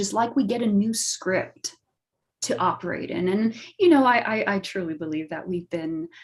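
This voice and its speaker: A somewhat breathy voice at a moderate pace, with lively intonation. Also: woman. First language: not English. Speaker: astrologer. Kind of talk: talk show explanation.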